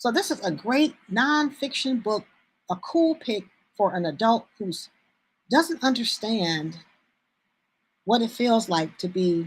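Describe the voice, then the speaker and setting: Her pitch swings very widely and her voice is somewhat breathy. The woman speaks at a very slow pace with long, frequent pauses. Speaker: bookstore owner. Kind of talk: live sales stream. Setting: live stream. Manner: halting.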